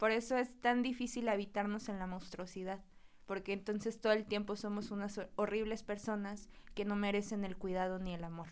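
Her voice is at a medium pitch for a woman, delivered in a monotone, flat way. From Mexico, Huauchinango, Puebla. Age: 20s. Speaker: psychotherapist. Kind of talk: casual interview chat.

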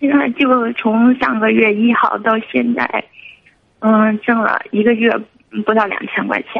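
Fairly high in pitch, a woman's voice keeps a fairly even intonation. Her pace is fairly slow. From Guangxi, China. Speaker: caller, single mother running a lottery shop. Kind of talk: phone-in call. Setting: phone call.

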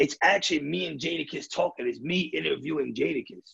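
A man speaks at a fairly quick pace in a raspy, gravelly voice with vocal fry, a husky, rough edge, a fairly bright tone, fairly high pitch and ordinary pitch variation.

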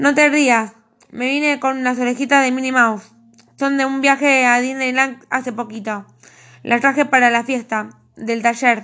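A woman speaks with a high pitch and a bright, sharp tone. Her intonation is monotone and flat. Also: fairly slow pace. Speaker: author. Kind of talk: reading aloud.

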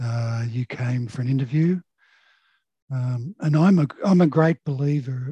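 A dark, mellow, somewhat breathy voice speaks with an Australian accent and ordinary pitch variation. The sound is dry and close, with no echo. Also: man, medium pitch for a man. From Sydney, Australia (Sutherland Shire). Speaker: surveyor and software sales manager. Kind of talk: casual interview. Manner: halting, many fillers.

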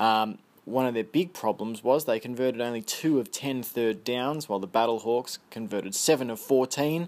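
A man speaks with an Australian accent at a moderate pace and ordinary pitch variation. The recording is very clean, with a silent background. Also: medium pitch for a man, hardly any pauses. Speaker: podcast host. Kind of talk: solo podcast monologue. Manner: informal, chatty.

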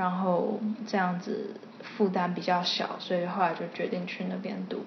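A woman speaks at a very slow pace in a flat, monotone delivery at medium pitch. Noticeable background noise and audible room echo fill the recording. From Taiwan. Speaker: illustrator. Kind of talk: interview. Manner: frequent English code-switching.

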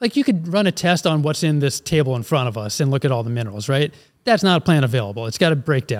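A fairly high-pitched man with an American accent at a very fast pace, in a dry, close sound with no echo. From Philadelphia, US. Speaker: ag company president, former chemical engineer. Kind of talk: casual interview.

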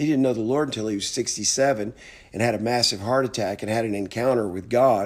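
The speaker has a normal speaking voice with an American accent and ordinary pitch variation. The pace is fairly quick, on a very clean recording with a silent background. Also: man. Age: 60s. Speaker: motivational speaker. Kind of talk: motivational monologue.

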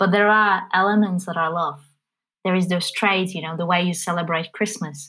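A woman in a Polish accent has a bright, sharp tone at medium pitch, with fairly even intonation at a moderate pace. The recording is very clean, with a silent background. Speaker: business forum president. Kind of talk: casual chat.

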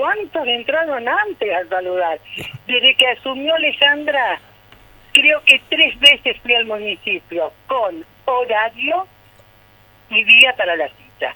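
Over noticeable background noise, a woman speaks at a very slow pace in a high pitch that swings very widely. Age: 60s. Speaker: neighbourhood association president. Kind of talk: radio phone interview. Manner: animated.

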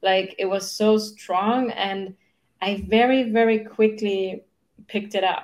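Her intonation is monotone and flat, and her pitch is fairly high for a woman. The woman speaks at a very slow pace. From Germany. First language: German. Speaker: human design mentor. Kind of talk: interview. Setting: video call.

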